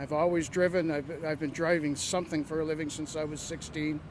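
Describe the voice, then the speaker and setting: A voice with a Canadian accent over noticeable background noise. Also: man. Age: 60s. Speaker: bus driver. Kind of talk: interview.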